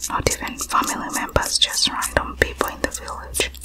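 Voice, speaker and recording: The speaker whispers, soft-spoken throughout. The pace is moderate. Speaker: scalp-care session host. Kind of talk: soft-spoken storytelling about childhood. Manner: soft whisper close to the mic.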